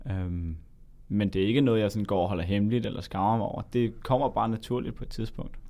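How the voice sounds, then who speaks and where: A man with a dark, mellow tone and fairly low pitch speaks very fast in a very clean recording with a silent background. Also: ordinary pitch variation. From Denmark, Zealand. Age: 20s. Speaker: medical student. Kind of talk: interview. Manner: halting.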